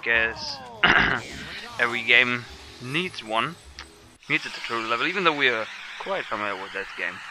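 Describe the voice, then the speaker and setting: Through noticeable background noise, a man is heard at a medium pitch with ordinary pitch variation. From Germany. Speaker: let's play gamer. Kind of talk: gameplay commentary. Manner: halting.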